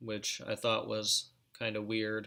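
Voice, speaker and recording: A man's fairly low-pitched voice with a bright, sharp tone. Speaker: reptile breeder streamer. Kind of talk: live stream chat. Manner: halting, with stutters; casual, filler-heavy.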